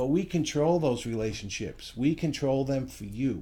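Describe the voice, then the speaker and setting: In a room with audible echo, a man speaks at a moderate pace and medium pitch, his tone dark and mellow. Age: 60s. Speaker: financial services company founder. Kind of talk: promotional talk to camera.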